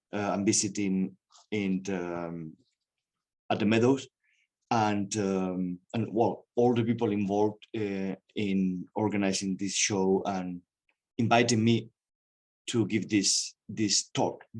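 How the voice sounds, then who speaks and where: A man with a Spanish accent speaks very slowly at a fairly low pitch, his intonation fairly even and his speech broken by long, frequent pauses. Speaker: museum director. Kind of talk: lecture. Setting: video call. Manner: halting.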